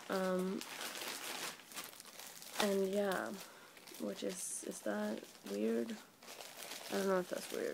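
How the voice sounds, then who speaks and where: A woman speaks at a fairly slow pace. Noticeable background noise runs underneath. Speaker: vlogger. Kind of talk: casual talk to camera. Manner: sleepy. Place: home room. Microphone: phone near.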